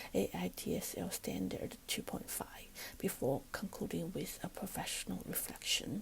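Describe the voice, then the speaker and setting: Moderate-paced speech in a Chinese accent. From China. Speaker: student teacher. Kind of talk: recorded class presentation. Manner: formal.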